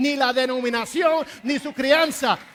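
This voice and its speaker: A woman's high-pitched voice at a fairly slow pace, with an English accent. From New Jersey, Puerto Rican family. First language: English (speaking Spanish). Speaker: pastor. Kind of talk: sermon. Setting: church.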